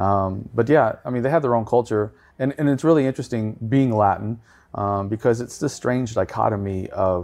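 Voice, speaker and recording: A man with a Texan accent speaks at a moderate pace and medium pitch with ordinary pitch variation against a quiet background. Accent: Texan American. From Texas. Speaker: tour guide and podcaster. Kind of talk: casual chat, interview. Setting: hotel room, late night.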